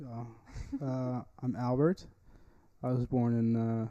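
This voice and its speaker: Speaking with a Texan accent, a man talks at a fairly slow pace and medium pitch. His dark, mellow voice is monotone and flat. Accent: Texan American. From East Texas. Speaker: podcast host. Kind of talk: casual chat. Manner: halting.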